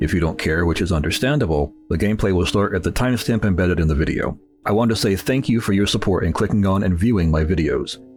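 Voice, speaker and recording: Over music in the background, a man speaks at a very fast pace with hardly any pauses. His very deep, low pitch shows ordinary variation, and his loudness stays very even. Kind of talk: scripted intro voiceover. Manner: relaxed, calm.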